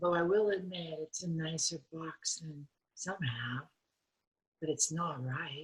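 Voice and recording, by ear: Putting on a character voice, a woman speaks slowly and low for a woman, with a husky, rough edge and fairly even intonation.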